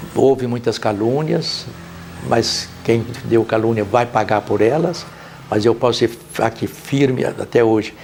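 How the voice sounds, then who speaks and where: Speech comes at a fairly slow pace with ordinary pitch variation. Loudness stays very even over noticeable background noise. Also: man, medium pitch for a man. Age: 90s. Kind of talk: documentary interview.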